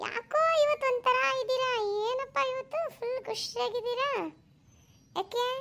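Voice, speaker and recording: A cartoonish character voice delivers its lines at a fairly slow pace. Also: woman, extremely high pitch for a woman. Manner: sarcastic.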